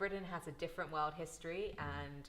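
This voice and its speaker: A woman speaks with monotone, flat intonation. Vocal fry runs through her voice. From London. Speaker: dual-citizen guest on space and security topics. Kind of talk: casual panel discussion.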